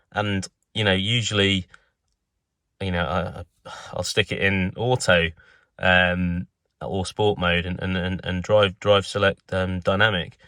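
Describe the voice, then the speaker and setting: A man speaks fairly slowly at a fairly low pitch. The recording is very clean with a silent background and a dry, close sound with no echo. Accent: southern English. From southern England. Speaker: car enthusiast vlogger. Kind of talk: casual product review. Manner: hesitant, many fillers and repetitions.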